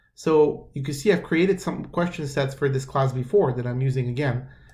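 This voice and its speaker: The somewhat breathy voice of a man. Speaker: math instructor. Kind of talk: tutorial. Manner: casual, halting with fillers; fast.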